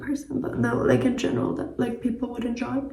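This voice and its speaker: The speaker has a German accent and a monotone, flat intonation. Audible room echo and noticeable background noise fill the recording. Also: woman. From German-speaking country. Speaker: travel vlogger. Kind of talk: casual vlog talk to camera. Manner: casual, many fillers.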